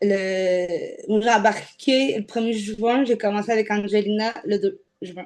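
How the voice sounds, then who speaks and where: Her pitch fairly high and her pitch variation ordinary, a woman talks at a very slow pace. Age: 30s. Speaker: weight-loss program client. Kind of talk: interview. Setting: video interview. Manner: casual.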